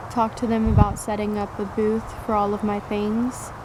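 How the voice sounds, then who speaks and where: The voice is monotone, with flat intonation. Audible room echo and noticeable background noise surround it. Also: woman. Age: 20s. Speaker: vlogger. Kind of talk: personal vlog monologue.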